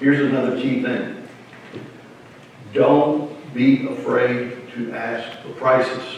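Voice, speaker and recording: Speaking at a very slow pace with long, frequent pauses, a man swings widely in loudness over noticeable background noise and audible room echo. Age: 60s. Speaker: funeral home professional. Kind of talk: presentation. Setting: seminar with live audience.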